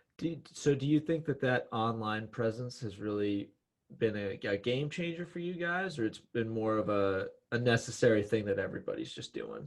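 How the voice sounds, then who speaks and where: Over a quiet background, a man with a medium pitch and a normal speaking voice talks at a moderate pace with lively intonation. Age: 20s. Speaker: podcast host. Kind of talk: podcast interview. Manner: joking, casual.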